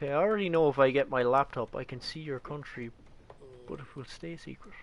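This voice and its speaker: Speaking at a very fast pace in an Irish accent, a man uses a fairly high pitch with ordinary variation and big swings in loudness. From Ireland. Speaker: gaming streamer. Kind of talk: casual chat. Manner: casual.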